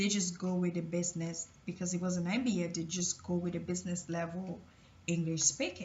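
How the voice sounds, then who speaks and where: A woman of medium pitch speaks at a moderate pace with a somewhat breathy voice. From Cameroon. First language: French. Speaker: motivational vlogger. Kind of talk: personal testimony. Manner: hesitant, with fillers and repetitions.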